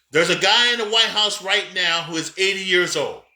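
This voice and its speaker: A man speaks at a moderate pace in a raised, projected voice that sits high for a man, with an animated tone and ordinary pitch variation. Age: 50s. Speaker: pastor and business coach. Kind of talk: motivational talk. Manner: halting.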